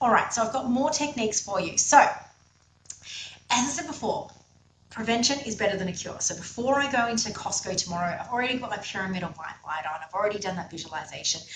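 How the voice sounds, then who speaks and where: A woman's fairly high, animated voice at a very fast pace, with lively intonation, big swings in loudness, noticeable background noise and audible room echo. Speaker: energy healing teacher. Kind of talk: online masterclass lecture.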